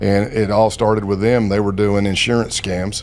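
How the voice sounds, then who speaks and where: Speaking at a moderate pace, a man with a Southern US accent has a fairly low pitch. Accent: Southern US accent, noticeable. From South Carolina. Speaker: former FBI undercover agent. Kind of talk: interview storytelling. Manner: hesitant, many fillers.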